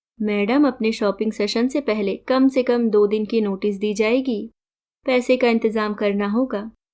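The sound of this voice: In a quiet background, the intonation stays fairly even in an unforced reading voice.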